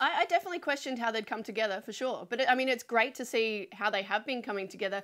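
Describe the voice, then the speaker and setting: In a South Australian accent, a woman speaks at a very fast pace with hardly any pauses. Her voice is fairly high-pitched with lively intonation. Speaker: sports podcast co-host. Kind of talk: casual chat. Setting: studio.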